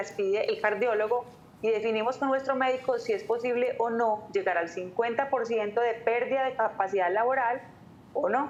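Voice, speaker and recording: A woman with a fairly high pitch talks in a normal speaking voice with fairly even intonation. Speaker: labor and pension lawyer. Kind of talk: radio call-in advice.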